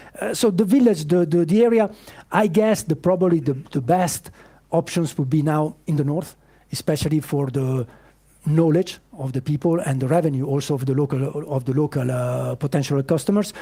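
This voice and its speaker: The voice is somewhat breathy, with a dark, mellow tone. It moves at a moderate pace with ordinary pitch variation. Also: man, fairly high pitch for a man. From Italy, Piedmont. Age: 50s. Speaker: startup founder. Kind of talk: pitch Q&A. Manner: halting.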